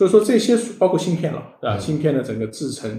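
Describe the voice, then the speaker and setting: Somewhat breathy and dark, mellow in tone, a man speaks with lively intonation amid audible room echo. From China, Sichuan. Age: 40s. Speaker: tech startup founder and CEO. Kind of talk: interview on a live-streamed show. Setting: live stream studio.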